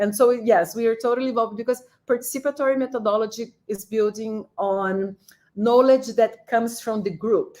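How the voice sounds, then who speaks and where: This woman's voice has a fairly high pitch and a dark, mellow tone. She talks at a moderate pace with ordinary pitch variation. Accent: Portuguese. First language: Portuguese. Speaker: professor. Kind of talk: panel discussion. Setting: live-streamed online event.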